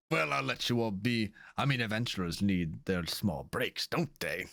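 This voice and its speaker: In a very clean recording with a silent background, a man puts on a character voice. It sits fairly low and moves at a moderate pace. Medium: actual play. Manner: relaxed, genial.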